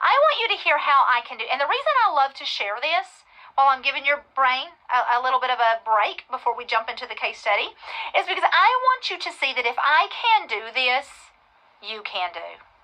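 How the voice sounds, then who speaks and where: Using a raised, projected voice with a Texan accent, a woman with a high pitch and a bright, sharp tone talks at a fairly quick pace with very wide pitch swings. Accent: Texan US Southern. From West Texas. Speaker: real estate investor and coach. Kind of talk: webinar presentation.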